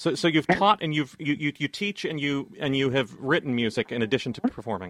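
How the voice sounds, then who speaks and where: A man with a normal speaking voice, fairly high-pitched, talking at a fairly quick pace with lively intonation. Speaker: radio host. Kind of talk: radio interview. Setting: studio.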